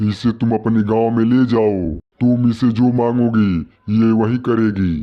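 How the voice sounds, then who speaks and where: A man does a cartoonish character voice at a medium pitch, speaking at a fairly slow pace with fairly even intonation. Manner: gentle, solemn.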